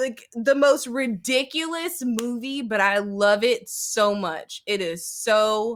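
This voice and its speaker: A woman speaks in a high, raised, projected voice with a bright, sharp tone. Her pace is very slow. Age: 30s. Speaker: geek content creator. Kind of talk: casual chat. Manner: animated.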